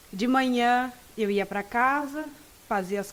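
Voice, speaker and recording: Her voice is high-pitched, and the woman's pitch varies in an ordinary way. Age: 20s. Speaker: law student. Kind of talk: interview.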